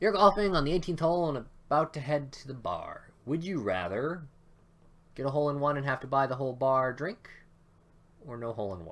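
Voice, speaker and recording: Lively intonation and big swings in loudness mark this man's fairly quick delivery. His pitch sits fairly high. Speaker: gaming YouTuber. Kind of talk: let's play commentary. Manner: casual, hesitant fillers.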